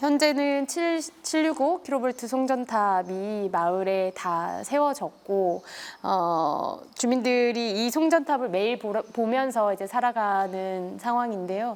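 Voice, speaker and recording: Very slow yet with hardly any pauses, a woman speaks in a fairly high pitch with lively intonation, recorded very cleanly against a silent background. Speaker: interview host. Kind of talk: interview question.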